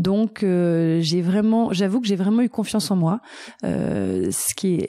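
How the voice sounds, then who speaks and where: A woman speaks at a medium pitch with a dark, mellow tone. The recording is very clean with a silent background, and the sound is dry and close with no echo. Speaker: travel agency founder. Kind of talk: interview answer.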